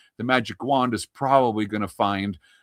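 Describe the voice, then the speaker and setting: Recorded very cleanly against a silent background, with a dry, close sound and no echo, an ordinary speaking voice with a Canadian accent moves at a moderate pace. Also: man. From Canada. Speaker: embroidery software demonstrator. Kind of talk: live software demonstration. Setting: live stream. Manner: casual, filler-heavy.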